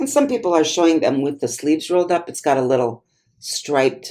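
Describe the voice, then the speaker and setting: A woman at a moderate pace, fairly low in pitch, with very wide pitch swings. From US Midwest, Wisconsin. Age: 60s. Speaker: clothing reseller, YouTuber. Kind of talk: thrift haul video, casual talk to camera. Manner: chatty, conversational with fillers.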